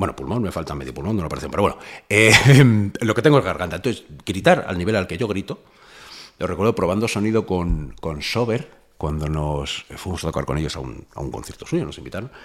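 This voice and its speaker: A man's very deep, low voice with very wide pitch swings, vocal fry and a fairly quick pace. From Spain, Madrid area (Fuenlabrada). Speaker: rapper. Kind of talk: casual chat. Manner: animated.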